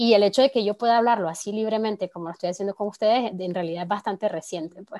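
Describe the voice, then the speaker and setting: A woman's medium-pitched voice with ordinary pitch variation, in a dry, close sound with no echo. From Nicaragua. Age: 20s. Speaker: communicator and feminist activist. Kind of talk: podcast interview.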